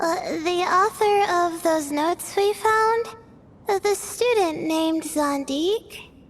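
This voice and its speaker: An extremely high-pitched cartoonish character voice speaks at a fairly slow pace. Background noise is clearly heard. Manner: hesitant, filler-heavy.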